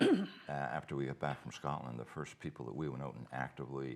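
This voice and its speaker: A man's very deep, low voice with vocal fry, fairly even intonation and a fairly quick pace. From Cape Breton, Nova Scotia, Canada. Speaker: festival co-founder. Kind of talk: casual chat. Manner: halting, many repetitions.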